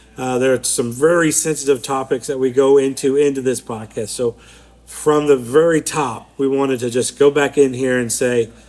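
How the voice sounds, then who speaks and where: Against noticeable background noise, a man of medium pitch speaks at a moderate pace in a flat monotone. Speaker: podcast co-host. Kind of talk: casual chat. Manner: mumbling.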